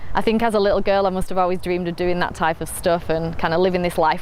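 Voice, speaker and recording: Noticeable background noise sits behind a woman speaking at a fairly low pitch with monotone, flat intonation. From northern England, Rochdale. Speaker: entrepreneur. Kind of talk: personal story interview. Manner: casual with fillers.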